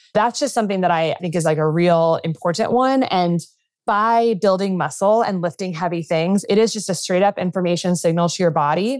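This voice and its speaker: Speaking fairly quickly, a woman with a normal speaking voice uses a medium pitch and ordinary pitch variation. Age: 30s. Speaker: physician. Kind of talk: interview.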